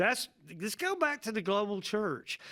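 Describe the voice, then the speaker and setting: Speaking at a fairly slow pace with a Southern US accent, a man comes through in a very clean recording with a silent background. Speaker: pastor. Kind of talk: casual chat.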